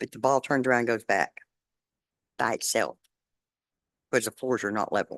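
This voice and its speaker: A woman with a Texan accent, in a dry, close sound with no echo. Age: 60s. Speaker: resident making a public comment. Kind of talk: public comment at a council meeting. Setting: city council meeting.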